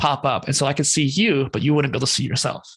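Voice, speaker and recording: Spoken with an American accent, the voice has a bright, sharp tone. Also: man. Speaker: content creator and podcast host. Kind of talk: interview conversation. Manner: fast, rapid-fire; animated.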